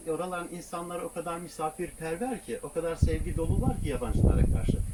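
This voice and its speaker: Spoken at a moderate pace with lively intonation, the voice comes over noticeable background noise. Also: man. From southeastern Turkey. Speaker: travel vlogger living in a camper van. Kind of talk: casual interview.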